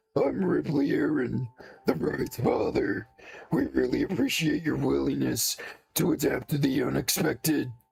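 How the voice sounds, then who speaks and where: A man's raspy, put-on character voice at a moderate pace, with music in the background. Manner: hearty.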